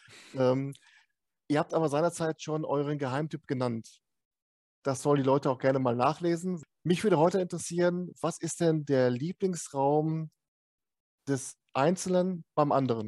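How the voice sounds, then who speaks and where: At a moderate pace with ordinary pitch variation and long, frequent pauses, the voice has a dry, close sound with no echo. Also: man, fairly high pitch for a man. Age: 50s. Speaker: podcast host. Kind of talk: casual interview.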